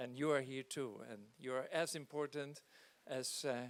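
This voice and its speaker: A man with a non-native accent, his pitch fairly high, at a moderate pace. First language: not English. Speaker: charity leader. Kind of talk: welcome speech. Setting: on board hospital ship, event with audience. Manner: halting.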